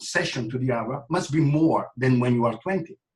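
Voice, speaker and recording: A somewhat breathy man's voice at a moderate pace. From Italy. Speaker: fitness trainer. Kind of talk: interview. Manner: halting.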